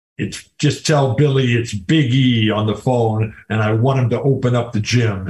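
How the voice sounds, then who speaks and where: A man speaks in a put-on character voice at medium pitch, keeping a moderate pace and fairly even intonation with hardly any pauses. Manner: demanding.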